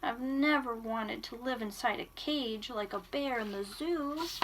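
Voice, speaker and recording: A woman performs a put-on character voice at a high pitch and moderate pace. Clear background noise is present. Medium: read story. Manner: cheerful, wondering.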